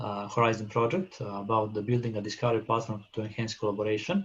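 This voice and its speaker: This man's voice is somewhat breathy, with a non-native accent. His pitch varies in an ordinary way. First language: not English. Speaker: session chair. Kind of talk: conference moderation. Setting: video call. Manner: halting.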